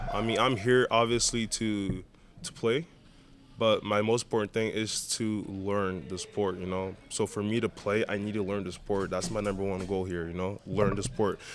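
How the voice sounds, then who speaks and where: At a moderate pace, a man with a slight Brazilian accent speaks at fairly low pitch and ordinary pitch variation. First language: Portuguese. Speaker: indoor soccer goalkeeper. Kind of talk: interview. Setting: indoor soccer arena.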